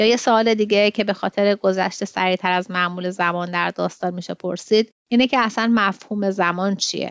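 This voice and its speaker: A woman with a medium pitch talks very fast, with hardly any pauses and fairly even intonation. The background is quiet. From Iran, Tehran. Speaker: podcast host and literary translator. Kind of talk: literary commentary; reading aloud of a translated short story.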